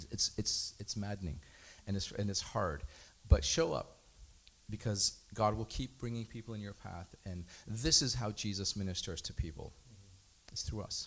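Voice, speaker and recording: A somewhat breathy man talks at a moderate pace and fairly low pitch, with ordinary pitch variation. His loudness swings widely, with long, frequent pauses. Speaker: congregant. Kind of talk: testimony.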